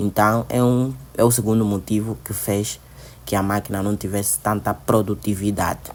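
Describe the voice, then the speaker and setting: With an Angolan accent, a man talks at a moderate pace in a fairly low pitch with ordinary pitch variation. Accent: Angolan Portuguese accent, noticeable. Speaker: student vlogger. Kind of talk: travel vlog narration and interview; interview. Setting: museum visit, on location.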